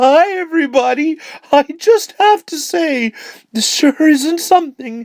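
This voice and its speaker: Her put-on character voice sits at a high pitch. The pace is fairly slow for this woman. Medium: read story.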